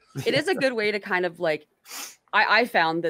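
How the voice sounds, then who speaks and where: A woman speaks at a fairly quick pace in a fairly low voice with a bright, sharp tone. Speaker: political streamer host. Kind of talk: casual chat.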